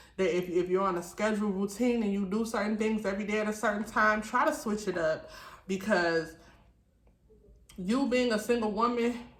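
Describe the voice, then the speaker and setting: Audible room echo surrounds a woman speaking at a fairly quick pace, her fairly high voice showing ordinary pitch variation. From Detroit, US. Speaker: YouTuber, single mother. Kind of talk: story time vlog with mukbang. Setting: at home at night. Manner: loud.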